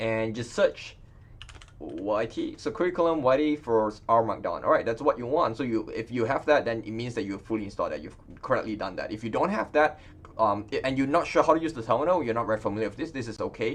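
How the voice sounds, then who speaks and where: A man with a non-native accent speaks at a very fast pace and a medium pitch, using lively intonation. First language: not English. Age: 30s. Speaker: data science educator. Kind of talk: tutorial. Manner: casual, many fillers.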